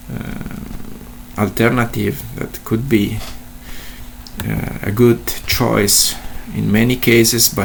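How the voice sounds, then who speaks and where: Against noticeable background noise, a man speaks very slowly, with long, frequent pauses. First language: not English. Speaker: statistician / tutorial presenter. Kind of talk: tutorial. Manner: halting, many fillers and repetitions.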